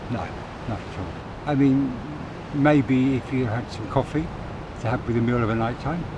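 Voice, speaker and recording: A man's speech with long, frequent pauses and noticeable background noise. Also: medium pitch for a man, moderate pace. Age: 60s. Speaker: castaway adventurer. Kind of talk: interview answer. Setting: outdoors.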